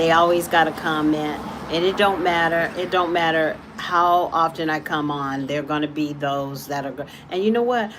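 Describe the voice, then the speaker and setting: A fairly low-pitched woman's voice at a moderate pace with ordinary pitch variation, amid audible room echo and noticeable background noise. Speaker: tarot reader livestreamer. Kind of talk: casual livestream chat. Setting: live stream. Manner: animated, repetitive.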